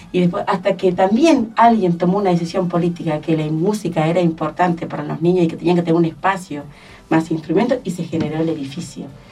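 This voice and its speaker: A woman at a very fast pace, fairly low pitch and ordinary pitch variation, with noticeable background noise. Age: 60s. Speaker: arts education director. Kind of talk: radio interview.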